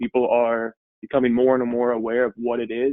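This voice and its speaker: A man talks at a medium pitch with a monotone, flat intonation. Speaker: insurance webinar presenter. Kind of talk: webinar presentation. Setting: online webinar. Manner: fast.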